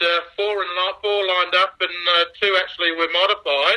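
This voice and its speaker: Speaking at a fairly slow pace with an Australian accent, this voice stays monotone with flat intonation. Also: man. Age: 50s. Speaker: original car owner. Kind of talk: interview. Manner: halting.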